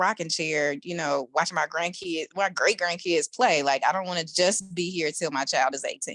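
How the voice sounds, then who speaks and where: A woman with a normal speaking voice talks at a fairly low pitch with ordinary pitch variation on a very clean recording with a silent background. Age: 40s. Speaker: network marketing distributor. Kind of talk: testimony.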